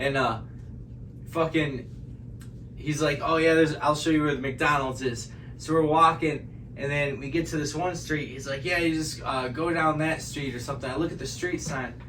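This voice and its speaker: With audible room echo, a man at a fairly high pitch talks at a moderate pace with fairly even intonation. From Michigan. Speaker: musician, podcast guest. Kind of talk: casual chat.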